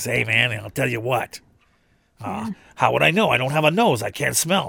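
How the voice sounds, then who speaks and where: Putting on a character voice, a man talks at a medium pitch. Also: moderate pace. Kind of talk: casual. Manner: sarcastic.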